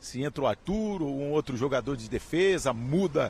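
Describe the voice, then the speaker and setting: With a somewhat breathy voice and a fairly high pitch, a man comes through with a dry, close sound and no echo. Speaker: sports reporter. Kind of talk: live field report.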